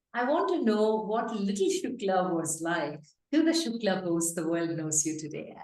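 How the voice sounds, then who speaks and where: There is audible room echo. A woman of medium pitch speaks at a fairly slow pace. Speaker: podcast host, former radio presenter. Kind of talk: interview; scripted introduction.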